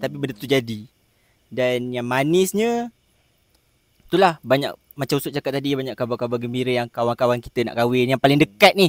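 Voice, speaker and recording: On a dry recording with no echo and a quiet background, a man talks at a fairly quick pace with ordinary pitch variation. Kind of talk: casual group discussion. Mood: warm, reflective. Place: garden.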